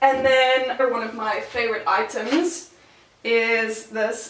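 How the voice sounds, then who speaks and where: A woman with an American accent and a fairly high pitch speaks with ordinary pitch variation. There is audible room echo along with noticeable background noise. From South Africa, Gauteng (Pretoria). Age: 20s. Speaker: university student. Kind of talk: casual home tour talk. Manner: casual, filler-heavy.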